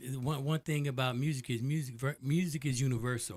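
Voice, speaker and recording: A man at a fairly quick pace with ordinary pitch variation, in a very clean recording with a silent background. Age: 60s. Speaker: DJ and podcast host. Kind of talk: casual interview chat. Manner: halting with repeated words.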